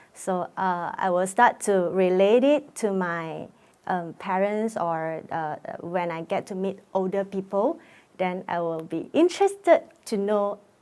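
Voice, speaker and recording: Music plays behind a woman who speaks fairly slowly at a medium pitch, with ordinary pitch variation. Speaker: musical theatre actor. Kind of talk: documentary interview. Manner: halting, with many fillers.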